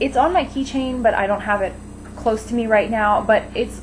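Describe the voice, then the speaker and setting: Noticeable background noise sits under the speech. The pace is fairly quick. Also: woman. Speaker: beauty vlogger. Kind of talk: casual vlog monologue. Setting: home kitchen. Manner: halting, rambling with fillers.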